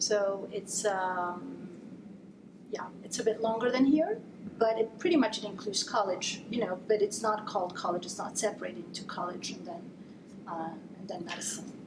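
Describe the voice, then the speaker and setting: A woman talks at a medium pitch and a moderate pace, with ordinary pitch variation and big swings in loudness. Audible room echo and noticeable background noise fill the recording. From Italy. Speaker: neurologist. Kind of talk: interview.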